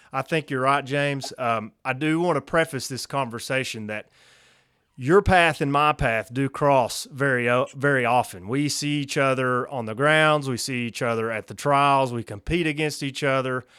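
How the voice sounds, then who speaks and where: With a Kentucky accent, a man speaks at a medium pitch in a bright, sharp tone with ordinary pitch variation. The recording is very clean, with a silent background. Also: moderate pace. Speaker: podcast host and field trial competitor. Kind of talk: casual interview.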